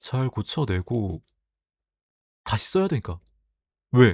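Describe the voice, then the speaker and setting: A soft-spoken man talks with a gentle tone and very wide pitch swings at a medium pitch. The recording is very clean, with a silent background and a dry, close sound with no echo. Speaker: YouTuber reading community posts. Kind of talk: reading aloud posts with casual commentary. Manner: soft, gentle sleep-aid delivery.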